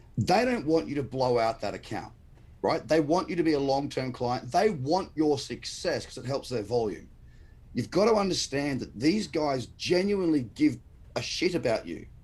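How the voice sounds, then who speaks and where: Somewhat breathy, a man with an Australian accent speaks at a fairly high pitch. His intonation is lively and his pace moderate. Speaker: crypto trader and trading educator. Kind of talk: casual live-stream interview. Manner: passionate, emphatic.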